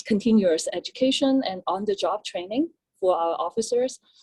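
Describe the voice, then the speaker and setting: A woman speaks at a moderate pace with a dark, mellow tone and medium pitch. Her intonation is lively, and the sound is dry and close with no echo. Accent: Chinese. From China. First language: Chinese. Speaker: police officer. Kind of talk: panel talk. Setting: panel at public forum.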